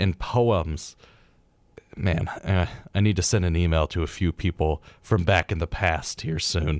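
The sound is dry and close, with no echo. A man with a very deep, low pitch speaks at a fairly slow pace with fairly even intonation. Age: 20s. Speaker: radio host. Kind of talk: casual chat. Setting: studio.

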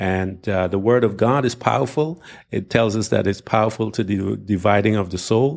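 Here a man talks at a fairly slow pace, with a fairly low pitch and ordinary pitch variation. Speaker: pastor and Bible teacher podcaster. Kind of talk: angry political rant with a preacher's cadence, sermon-like. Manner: indignant, emphatic, pressing and insistent; uses filler words and pauses while arguing.

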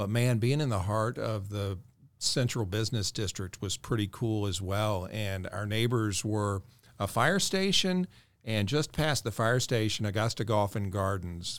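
A man with an ordinary speaking voice talks at a fairly slow pace in a fairly low pitch. His pitch varies in an ordinary way, and the recording is very clean with a silent background. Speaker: news anchor. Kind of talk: casual interview chat.

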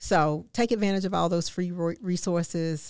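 A woman with an American accent speaks at a fairly quick pace and fairly low pitch, her intonation fairly even. She has a normal speaking voice, heard on a very clean recording with a silent background. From Augusta, Georgia, US South. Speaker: former city administrator, podcast host. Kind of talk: interview conversation.

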